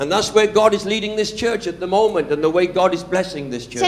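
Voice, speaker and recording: Over noticeable background noise, a man with a Welsh accent talks very fast at a high pitch. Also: ordinary pitch variation. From Wales. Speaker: preacher. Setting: church sermon. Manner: preaches in short phrases paused for an interpreter.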